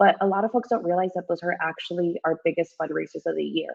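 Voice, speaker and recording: Her voice is fairly low for a woman, with ordinary pitch variation. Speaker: community outreach coordinator. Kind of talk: virtual tour guest presentation. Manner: halting, filler-heavy.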